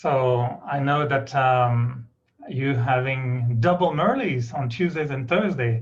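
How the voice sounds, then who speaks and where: Speaking very slowly with a slight British accent, a man keeps a medium pitch with ordinary variation. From Quebec, Canada (Montreal). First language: French. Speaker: spiritual speaker. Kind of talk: spiritual talk.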